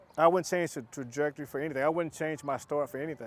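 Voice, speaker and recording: A man is speaking. He talks in a Southern US accent. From US South, Chattanooga, Tennessee. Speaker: pilot and entrepreneur. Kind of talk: casual vlog narration.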